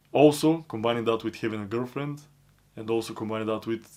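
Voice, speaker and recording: In a very clean recording with a silent background, a man with a non-native accent and a medium pitch talks fairly quickly with fairly even intonation. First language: not English. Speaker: self-improvement vlogger. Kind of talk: personal monologue. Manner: non-stop talking.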